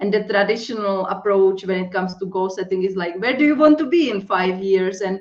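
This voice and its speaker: A woman with a strong non-native accent and lively intonation against a quiet background. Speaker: life and accountability coach. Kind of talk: interview.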